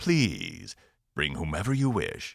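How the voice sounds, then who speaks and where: Using a put-on character voice, a man keeps his pitch in the medium range. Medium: read story. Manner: formal, weighty, slow.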